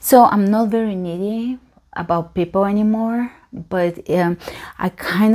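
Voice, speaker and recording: A woman with a Bulgarian accent and a dark, mellow tone, at a fairly slow pace with ordinary pitch variation. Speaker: yoga teacher. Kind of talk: casual Q&A monologue. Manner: hesitant, filler-heavy.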